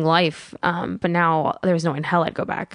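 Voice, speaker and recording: An ordinary speaking voice at a moderate pace. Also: woman. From Colorado, US, Iraqi-American family. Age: 20s. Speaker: comedian. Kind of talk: casual chat.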